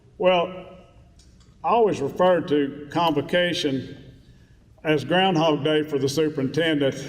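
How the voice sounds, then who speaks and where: A fairly high-pitched man with a West Virginia accent, fairly even intonation, a fairly slow pace and long, frequent pauses, in audible room echo. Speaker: school superintendent. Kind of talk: speech to staff. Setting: stage with audience.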